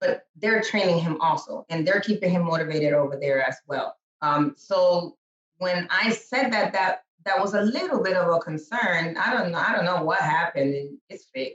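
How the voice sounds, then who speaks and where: Lively intonation marks this woman's speech at a medium pitch. She keeps a moderate pace. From Dominican-American, New York and Dominican Republic. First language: Spanish. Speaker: business owner, real estate client. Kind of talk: podcast interview. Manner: halting, many fillers and repeats.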